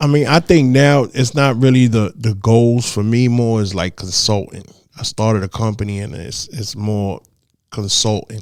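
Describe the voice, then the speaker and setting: In a New York accent, a man talks at a moderate pace and medium pitch with ordinary pitch variation. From New York, the Bronx. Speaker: DJ. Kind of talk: interview. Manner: quiet.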